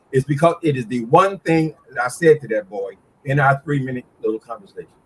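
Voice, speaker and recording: The man's voice is fairly high in pitch, somewhat breathy and animated. The sound is dry and close with no echo. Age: 60s. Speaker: YouTube commentator. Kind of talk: casual chat.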